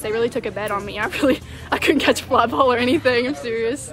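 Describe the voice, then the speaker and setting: Against clear music in the background, a woman talks at a fairly quick pace with ordinary pitch variation, in a dry sound with no echo. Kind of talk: interview answer. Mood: happy, modest, relaxed. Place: stadium. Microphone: phone near.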